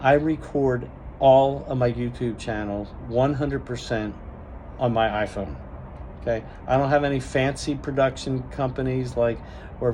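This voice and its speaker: A man talks at a moderate pace, and audible room echo lingers on his words. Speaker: cruise vlogger. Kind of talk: casual vlog monologue. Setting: at a cruise port. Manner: stutters and stammers at times; long-winded, unscripted.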